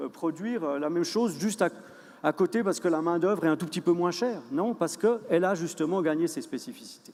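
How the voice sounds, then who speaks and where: A man's very fast speech at a high pitch, with ordinary pitch variation. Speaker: conference speaker, researcher. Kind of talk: lecture. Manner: hesitant, many fillers and repeats.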